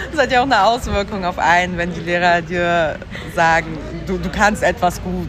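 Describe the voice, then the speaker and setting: Crowd noise fills the background and the room echo is audible. A woman speaks at a fairly low pitch with ordinary pitch variation. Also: moderate pace. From Berlin (East Berlin), born in Siberia. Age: 30s. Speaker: journalist and podcast editor. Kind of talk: interview. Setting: outdoors.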